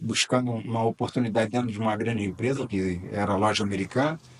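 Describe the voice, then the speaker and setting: A man speaks over noticeable background noise. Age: 60s. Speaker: business angel and mentor. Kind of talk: podcast interview.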